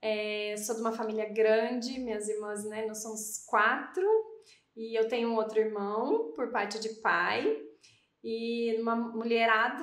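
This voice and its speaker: A woman with a southern Minas Gerais accent, fairly slow pace and fairly even intonation, amid audible room echo. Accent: southern Minas Gerais (mineiro). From Campinas, São Paulo state, Brazil. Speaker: podcast co-host, physician. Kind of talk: casual chat.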